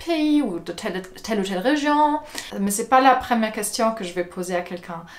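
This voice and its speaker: A woman with a German accent speaks with ordinary pitch variation amid noticeable background noise. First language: German (speaking French). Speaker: video blogger. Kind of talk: casual vlog monologue. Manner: hesitant, many fillers.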